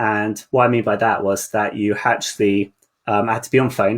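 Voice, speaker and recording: This man talks at a moderate pace in a medium pitch, with monotone, flat intonation. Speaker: marketer. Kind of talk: interview. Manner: mumbling.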